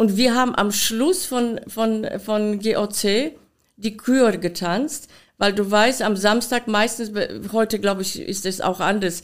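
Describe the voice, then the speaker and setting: Speaking at a very slow pace, a woman with a Polish accent has a fairly high pitch and ordinary pitch variation. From Poland. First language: Polish (speaking German). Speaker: dance costume designer and former dancer. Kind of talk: interview. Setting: her studio.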